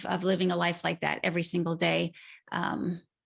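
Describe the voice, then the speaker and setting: There is vocal fry in this woman's fairly low voice as she talks at a moderate pace. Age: 40s. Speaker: nutrition coach and podcast host. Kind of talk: solo podcast talk. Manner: mumbling; casual, meandering.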